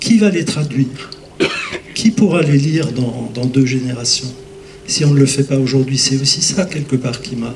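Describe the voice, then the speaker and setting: A man at a medium pitch speaks at a fairly slow pace with lively intonation, with audible room echo and noticeable background noise. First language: Lorraine Franconian dialect (speaking French). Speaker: pastor and lecturer. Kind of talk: conference Q&A. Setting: conference hall with audience. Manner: hesitant, many fillers.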